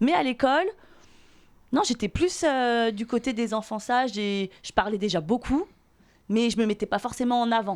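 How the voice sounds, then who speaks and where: A woman speaks at a fairly high pitch with lively intonation. Her pace is moderate, broken by long, frequent pauses. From Paris region, Seine-et-Marne (France). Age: 30s. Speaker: podcast guest. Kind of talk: casual chat.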